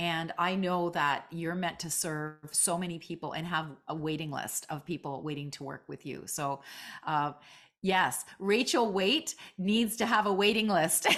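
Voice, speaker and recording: On a very clean recording with a silent background, a woman speaks at a fairly low pitch with ordinary pitch variation. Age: 60s. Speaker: jazz singer and coach. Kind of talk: casual interview chat. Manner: animated.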